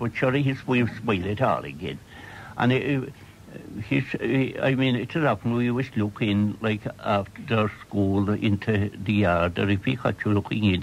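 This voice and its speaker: A man speaks at a moderate pace with a Cork accent and ordinary pitch variation over light background noise. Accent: Irish, County Cork. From Ireland. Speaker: storyteller. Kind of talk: radio interview reminiscence. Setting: radio broadcast recorded off air. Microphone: old recording.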